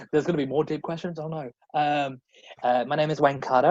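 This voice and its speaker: Speaking at a very fast pace, a man has an Australian accent. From Australia, rural South Australia. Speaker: drag performer and cabaret comedian. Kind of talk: casual interview chat. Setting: podcast interview.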